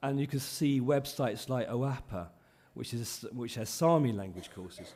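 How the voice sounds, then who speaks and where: With a dark, mellow tone, a man speaks at a moderate pace with ordinary pitch variation. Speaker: conference speaker on minority languages. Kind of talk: conference talk. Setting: conference hall with live interpretation. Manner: hesitant with many ums.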